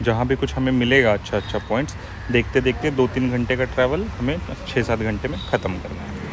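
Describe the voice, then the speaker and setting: The voice moves at a moderate pace, with a dry sound that has no echo and noticeable background noise. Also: man, ordinary pitch variation. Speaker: travel vlogger. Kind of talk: casual vlog chat. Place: street. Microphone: phone near.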